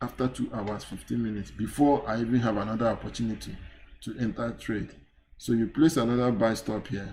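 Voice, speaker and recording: A somewhat breathy man at medium pitch, at a fairly quick pace. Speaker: forex trading instructor. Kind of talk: live trading tutorial. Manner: halting, with fillers.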